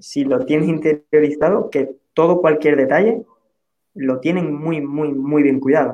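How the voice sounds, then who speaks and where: This man has a normal speaking voice, pitched fairly high, with fairly even intonation. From Andalusia, Spain (Huelva). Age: 30s. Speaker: social enterprise founder. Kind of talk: panel discussion.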